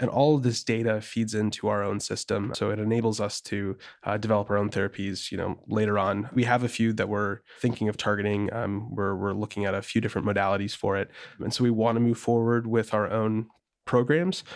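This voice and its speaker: Against a quiet background, the speaker moves at a fairly quick pace with monotone, flat intonation. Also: man, fairly low pitch for a man. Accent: American. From rural Wisconsin. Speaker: biotech startup founder and CEO. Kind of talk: interview.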